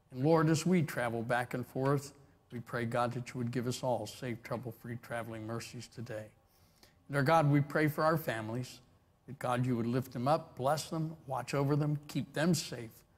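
At a moderate pace, a man speaks in a somewhat breathy voice with ordinary pitch variation. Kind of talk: opening prayer. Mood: reverent, calm. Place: church.

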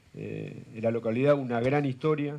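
This man has a dark, mellow tone at medium pitch. His intonation is fairly even. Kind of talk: news interview. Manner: halting, many fillers.

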